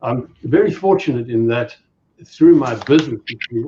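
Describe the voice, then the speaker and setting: A man's fairly high, somewhat breathy voice with a dark, mellow tone, a South African accent and a moderate pace. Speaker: safari business owner. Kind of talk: casual chat.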